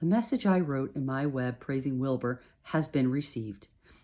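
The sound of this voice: The pitch varies in an ordinary way through this unforced reading voice.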